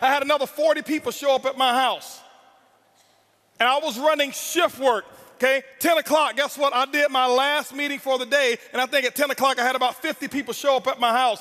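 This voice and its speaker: A man raises and projects his extremely high voice, speaking at a fairly quick pace with fairly even intonation. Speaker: network marketing speaker. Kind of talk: motivational speech. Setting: stage with audience. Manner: loud; intense.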